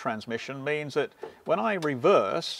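A man's voice at a moderate pace, with ordinary pitch variation. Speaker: presenter. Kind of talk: tutorial. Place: farm machine.

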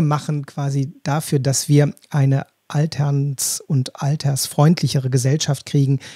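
A man speaks with a fairly high pitch in a somewhat breathy, dark, mellow voice. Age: 50s. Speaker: podcast host. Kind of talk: interview.

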